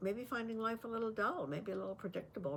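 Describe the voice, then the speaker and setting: A woman speaks over noticeable background noise. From Canada. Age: 80s+. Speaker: lifestyle vlogger. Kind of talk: talk to camera. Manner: hesitant, many fillers.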